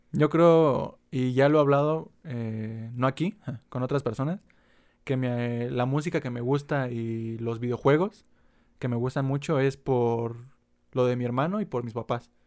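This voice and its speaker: With a Mexican accent, a man speaks at a fairly slow pace. His pitch is medium, with ordinary variation. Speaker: podcast co-host. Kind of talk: casual chat. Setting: at home.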